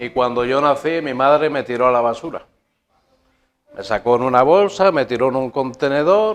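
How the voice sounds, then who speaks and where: Man at a medium pitch, lively intonation, moderate pace. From Spain (León). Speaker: guest preacher giving testimony. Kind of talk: testimony.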